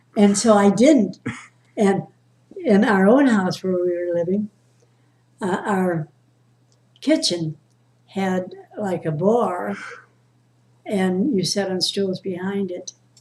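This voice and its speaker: Very slowly and with long, frequent pauses, a woman speaks in a dark, mellow tone that is somewhat breathy. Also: medium pitch for a woman, ordinary pitch variation. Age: 80s+. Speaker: storyteller. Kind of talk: family storytelling, casual conversation.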